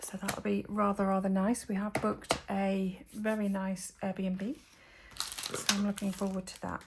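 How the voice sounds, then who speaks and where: A woman with a slight Geordie accent talks fairly slowly in a monotone, flat intonation at a medium pitch, with noticeable background noise. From northeast England, Northumberland (Geordie). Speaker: papercraft demonstrator. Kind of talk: crafting tutorial. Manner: casual, hesitant with fillers.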